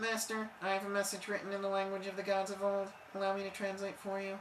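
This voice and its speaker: Someone uses a put-on character voice at middle pitch. The pace is very fast, with clear background noise. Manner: stiff, formal.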